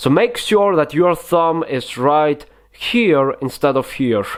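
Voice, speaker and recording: Speaking with a non-native accent, a man keeps a fairly slow pace. His pitch variation is ordinary. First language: not English. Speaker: magic tutorial youtuber. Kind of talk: tutorial. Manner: hesitant, many fillers.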